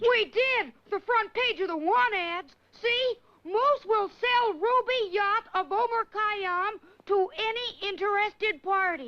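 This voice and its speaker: An extremely high-pitched, cartoonish character voice moves at a fairly slow pace. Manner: eager, bright.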